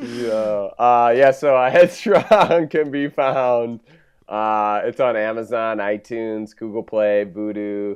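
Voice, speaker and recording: Against a quiet background, a man with an American accent talks at a very slow pace, with medium pitch and ordinary pitch variation. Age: 30s. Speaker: filmmaker. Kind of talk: casual chat.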